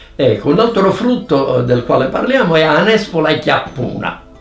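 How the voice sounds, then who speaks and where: Over music in the background, a man with a high voice speaks at a fairly slow pace, his loudness very even but his pitch swinging very widely, with long, frequent pauses. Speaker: professor, dialect expert. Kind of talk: educational explanation.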